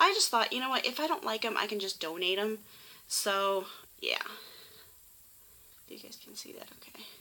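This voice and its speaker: A woman with an American accent speaks at a fairly high pitch, her intonation lively and her loudness swinging widely. Noticeable background noise runs behind her. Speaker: YouTuber doing shopping hauls. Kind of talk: casual vlog haul. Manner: fast; chatty, many fillers (um).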